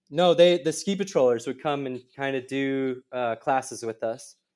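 A man speaks with an American accent at a moderate pace. His is a plain, everyday voice at medium pitch. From Minnesota, near Minneapolis. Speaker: terrain park builder and snowcat operator. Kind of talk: casual interview chat. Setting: remote call.

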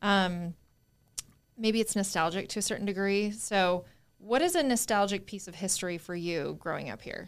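In a very clean recording with a silent background, a woman with an American accent talks at medium pitch with ordinary pitch variation, in an unremarkable speaking voice. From small-town California. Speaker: real estate agent and podcast co-host. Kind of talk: casual chat.

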